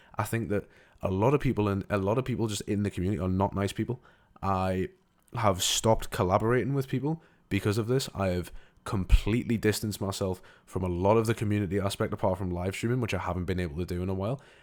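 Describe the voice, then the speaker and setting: The voice has an animated tone and ordinary pitch variation, racing at a very fast pace. It is a very clean recording with a silent background. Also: man, fairly low pitch for a man. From northeast England. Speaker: gaming YouTuber reacting to video. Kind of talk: reaction commentary. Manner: animated, repetitive stammering.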